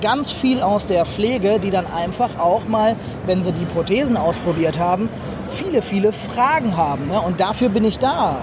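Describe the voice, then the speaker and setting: Speaking at a moderate pace, a man with a high pitch and lively intonation is heard over noticeable background noise. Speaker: amputee athlete and peer counsellor. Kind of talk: interview. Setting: trade fair stand.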